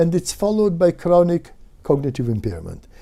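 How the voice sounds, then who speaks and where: The man's voice has a dark, mellow tone. His pitch is high. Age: 70s. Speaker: neuroscientist. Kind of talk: lecture. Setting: webinar. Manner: halting, many fillers.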